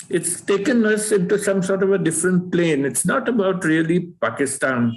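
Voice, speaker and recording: Over noticeable background noise, a man with a high pitch speaks at a moderate pace and very even loudness, his intonation lively. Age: 70s. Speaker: book club member, doctor. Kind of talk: book club discussion. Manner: halting.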